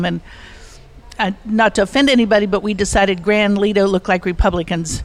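A woman at medium pitch, an ordinary speaking voice, fairly quick in pace with fairly even intonation. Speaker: long-time resort guest. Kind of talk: reminiscing storytelling.

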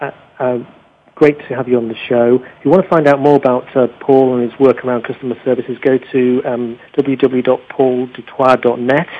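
There's a slightly husky edge as a man talks at a fairly quick pace with little pitch movement. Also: medium pitch for a man.

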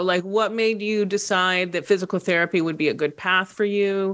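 A woman talks at a fairly quick pace in a medium pitch. She has a plain, everyday voice with ordinary pitch variation. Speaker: radio host. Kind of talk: interview conversation. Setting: studio with video.

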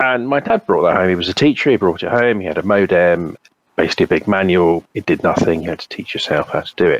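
A man at a very fast pace in a British accent, with a dry, close sound and no echo. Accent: English (British), obvious. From England. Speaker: cybersecurity consultant. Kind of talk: casual interview.

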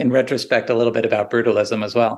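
Speaking at a very fast pace, a man with an American accent and medium pitch is heard over a quiet background. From US Northeast, New Jersey area. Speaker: architect and professor. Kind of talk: interview conversation. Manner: hesitant with fillers.

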